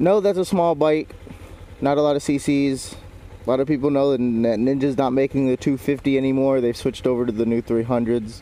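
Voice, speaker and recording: A man with an American accent speaks at a fairly quick pace in a medium pitch, with a dark, mellow tone and ordinary pitch variation. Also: very even loudness. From US Midwest (Rochester, Michigan, Detroit area). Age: 20s. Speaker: motorcycle vlogger. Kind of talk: casual vlog monologue. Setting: on a motorcycle, GoPro with mic. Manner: halting, many fillers.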